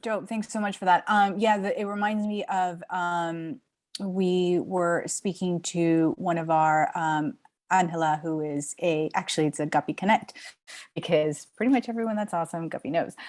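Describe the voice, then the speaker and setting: With an American accent, a woman in an ordinary speaking voice talks at a fairly low pitch and a moderate pace. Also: ordinary pitch variation. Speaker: event host. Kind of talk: online panel discussion. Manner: casual, many fillers.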